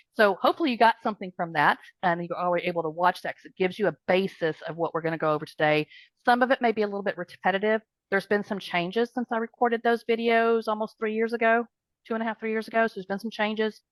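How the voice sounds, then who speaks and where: A woman talks very fast at a fairly high pitch, with ordinary pitch variation and big swings in loudness. The sound is dry and close, with no echo. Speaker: practice management trainer. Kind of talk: online group training. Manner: rambling, conversational.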